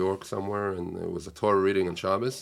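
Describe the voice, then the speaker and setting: Very deep and low in pitch, a man with an Israeli accent speaks at a very fast pace with monotone, flat intonation. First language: Hebrew. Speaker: rabbi and teacher. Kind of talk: casual interview conversation. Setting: studio.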